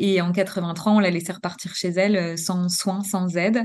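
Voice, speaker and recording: This is a normal speaking voice with fairly even intonation. The background is quiet. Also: woman. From Normandy, France. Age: 40s. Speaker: pediatric nurse and trainer. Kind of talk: interview.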